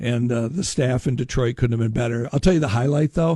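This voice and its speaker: In a dry, close sound with no echo, a man speaks with a medium pitch, a dark, mellow tone, some breathiness and ordinary pitch variation. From Upper Peninsula of Michigan (Marquette). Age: 60s. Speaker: shipwreck historian and lecturer. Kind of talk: radio interview. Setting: radio studio.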